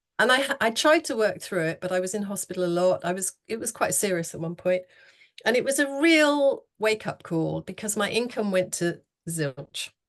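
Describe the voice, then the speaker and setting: A woman at medium pitch with an English accent, very wide pitch swings, a moderate pace and a quiet background. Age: 60s. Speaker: horsemanship coach. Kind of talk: interview.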